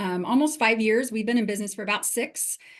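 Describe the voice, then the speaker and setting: With a Western US accent, a woman speaks in fairly even intonation over a quiet background. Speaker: HR executive. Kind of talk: webinar panel talk.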